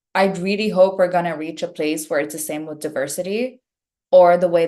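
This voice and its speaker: This woman's voice is fairly low in pitch. She talks with a non-native accent. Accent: foreign accent, noticeable. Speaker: actress. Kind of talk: casual chat. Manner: fluent.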